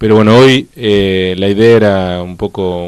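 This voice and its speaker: This man has a normal speaking voice with a fairly low pitch. His intonation stays fairly even. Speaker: TV and radio interviewer. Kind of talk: interview.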